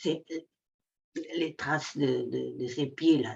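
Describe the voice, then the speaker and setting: A woman speaks at a very slow pace. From Netherlands. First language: Dutch (speaking French). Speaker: workshop participant. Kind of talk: sharing in an online group session. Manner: halting, many repetitions.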